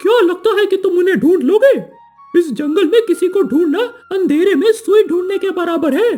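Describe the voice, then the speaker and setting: A cartoonish character voice with an extremely high pitch, a moderate pace and faint music in the background. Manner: playful, teasing.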